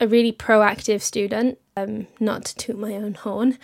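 With a Welsh accent, a woman talks at a fairly slow pace and fairly high pitch, her intonation monotone and flat, on a very clean recording with a silent background. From Wales. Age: 20s. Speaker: radio presenter. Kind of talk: interview.

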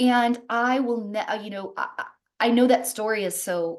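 At a moderate pace, a woman talks in a fairly high voice with an animated tone and ordinary pitch variation. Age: 30s. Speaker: wellness coach. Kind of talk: casual chat.

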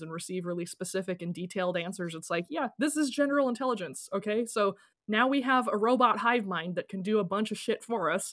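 A woman with an American accent has an unremarkable speaking voice at a fairly high pitch. She goes at a fairly quick pace with lively intonation. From Idaho. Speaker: podcast host and fiction writer. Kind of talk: casual interview chat; scripted narration.

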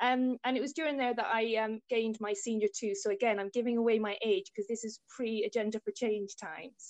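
Against a quiet background, a woman in an Irish accent speaks at a fairly quick pace with a fairly high pitch. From Ireland, rural Tipperary. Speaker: diagnostic radiographer. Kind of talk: interview.

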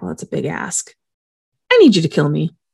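A woman speaks in a put-on character voice with a raspy edge. Her pace is fairly quick. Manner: funny voice.

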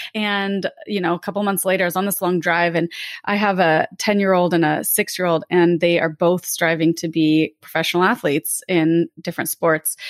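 Against a quiet background, a speaker with an American accent talks at a moderate pace with hardly any pauses. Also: woman, fairly low pitch for a woman. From California (Lake Tahoe). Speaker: podcast host, physician, former ski racer. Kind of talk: casual chat. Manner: animated.

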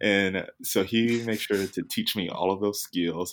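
On a very clean recording with a silent background, a man with an American accent has an ordinary speaking voice at a fairly low pitch. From US South, Jackson, Mississippi. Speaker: actor and film student. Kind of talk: interview.

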